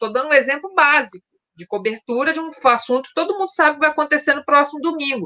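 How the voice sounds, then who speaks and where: A woman projects a raised voice with a bright, sharp tone and ordinary pitch variation at a fairly quick pace. The sound is dry and close, with no echo. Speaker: book channel host, former radio and news journalist. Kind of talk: casual chat. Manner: fast.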